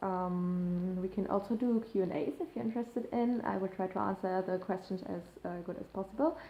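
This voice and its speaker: With a German accent, a woman speaks at a moderate pace. Her pitch is medium, with ordinary pitch variation. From Germany. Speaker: YouTuber, eating disorder recovery. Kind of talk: casual vlog to camera. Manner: hesitant, many fillers.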